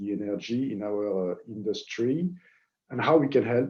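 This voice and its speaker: With a French accent, a man of medium pitch and a dark, mellow tone speaks at a moderate pace. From France. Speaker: marketing head at equipment company. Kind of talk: webinar presentation. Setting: online webinar. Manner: hesitant, many fillers.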